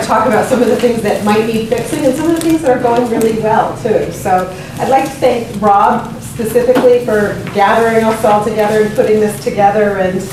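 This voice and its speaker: Talking at a very fast pace with fairly even intonation, a woman is heard amid audible room echo and noticeable background noise. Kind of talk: public talk to audience. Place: meeting room. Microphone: camera far.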